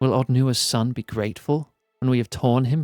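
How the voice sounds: A natural reading voice, fairly even in intonation, over a quiet background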